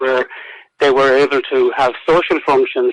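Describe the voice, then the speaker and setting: The speaker has a Roscommon accent. The intonation stays fairly even. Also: man. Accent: Irish, Roscommon. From Ireland, County Roscommon. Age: 70s. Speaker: historian and author. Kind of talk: radio interview. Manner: halting, many fillers and repetitions.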